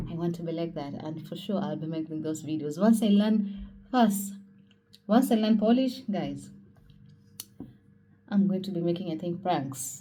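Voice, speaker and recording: Her voice is fairly low, dark and mellow, and somewhat breathy as the woman speaks at a moderate pace with ordinary pitch variation, big swings in loudness, long, frequent pauses and audible room echo. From Kenya, Mombasa. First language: Kenyan mother tongue (Swahili region). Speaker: vlogger. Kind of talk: casual vlog talk. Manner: casual, with frequent fillers.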